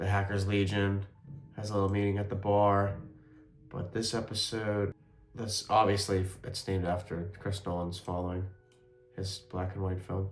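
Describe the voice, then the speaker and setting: Over music in the background, a quiet man with a fairly low pitch speaks at a moderate pace in a monotone, flat intonation with long, frequent pauses. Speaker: amateur filmmaker reviewing own web series. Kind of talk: casual video commentary. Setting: at home, indoors. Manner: quiet, subdued.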